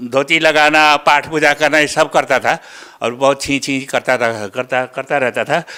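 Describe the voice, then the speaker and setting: Fairly high for a man, this man's voice has a bright, sharp tone and fairly even intonation. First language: Nepali (speaking Hindi). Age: 70s. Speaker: religious follower. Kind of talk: testimony. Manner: halting.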